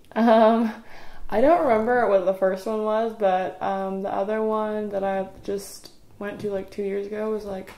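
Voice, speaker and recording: Here a woman speaks with an Appalachian accent at a moderate pace. Her pitch is medium and her intonation fairly even. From East Tennessee. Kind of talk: interview answer. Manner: casual, chatty.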